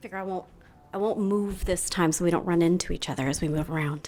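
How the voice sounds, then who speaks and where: The speaker is a woman with a fairly quick pace. The background is silent and the recording very clean. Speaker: banker. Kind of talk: conference presentation. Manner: loud.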